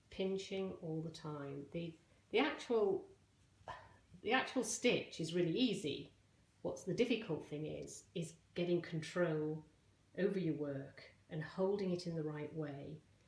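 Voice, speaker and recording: Pitch moves in an ordinary way through a fairly slow delivery. There is a somewhat breathy quality to the voice. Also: woman. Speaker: crochet teacher. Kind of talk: tutorial.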